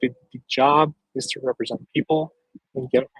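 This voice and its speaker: A somewhat breathy male voice, fairly high in pitch, with fairly even intonation. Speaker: political candidate and show host. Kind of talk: live stream talk. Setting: outdoors with dog.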